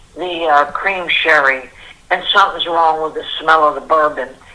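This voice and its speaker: Over noticeable background noise, a woman with a very deep, low voice speaks at a moderate pace with fairly even intonation. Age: 70s. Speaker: caller. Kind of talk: voicemail rant. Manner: rambling.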